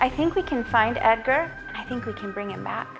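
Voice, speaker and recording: Music in the background behind a woman at a moderate pace. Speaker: storyteller. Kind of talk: host intro to camera.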